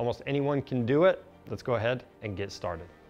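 With faint music in the background, a man speaks at a moderate pace with ordinary pitch variation. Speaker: presenter. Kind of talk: tutorial. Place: workshop.

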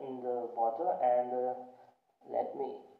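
A man against a quiet background, with audible room echo. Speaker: product reviewer. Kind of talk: casual product review vlog, Hindi-English mix. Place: home room. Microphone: phone near.

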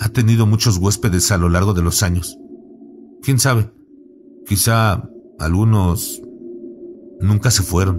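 Music plays in the background as a man speaks at a fairly low pitch with fairly even intonation. His pace is fairly slow, with long, frequent pauses. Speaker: horror story narrator. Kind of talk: ghost story telling, first-person scary narration.

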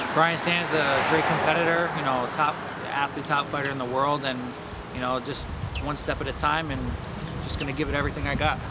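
A man talks at a fairly quick pace. There is loud background noise behind him. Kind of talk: interview answer. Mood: serious, determined. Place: waterside.

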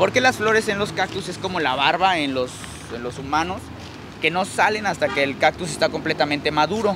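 Noticeable background noise accompanies a man speaking at a fairly quick pace with a fairly high pitch, in a dry sound with no echo. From Mexico. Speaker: plant nursery owner and YouTuber. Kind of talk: casual guided tour chat. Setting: outdoors in a plant nursery. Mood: warm, fond of cacti. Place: garden. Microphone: lapel.

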